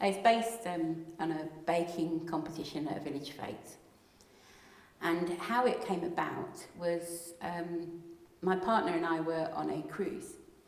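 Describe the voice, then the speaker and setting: Noticeable background noise and audible room echo surround speech at a fairly slow pace. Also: woman, fairly low pitch for a woman, ordinary pitch variation. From South East England (London, Kent). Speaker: playwright and wildlife photographer. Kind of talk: interview. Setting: event with audience.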